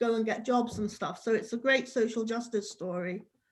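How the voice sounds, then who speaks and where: At a moderate pace, a woman with an English accent speaks with fairly even intonation on a very clean recording with a silent background. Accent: English accent, though Scottish. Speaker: worship participant. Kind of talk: casual chat.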